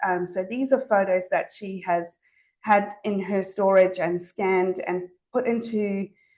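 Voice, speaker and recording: A woman with a slight Zimbabwean accent talks at a moderate pace, keeping a medium pitch and fairly even intonation. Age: 40s. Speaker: speech pathologist. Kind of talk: presentation to an audience. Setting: talk with live audience. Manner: hesitant, many fillers.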